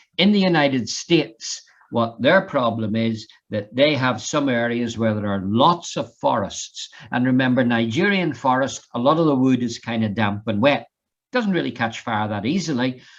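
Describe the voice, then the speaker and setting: A man's medium-pitched voice with an Irish accent, lively intonation and a moderate pace. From Ireland. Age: 60s. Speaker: fire safety trainer. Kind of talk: online lecture.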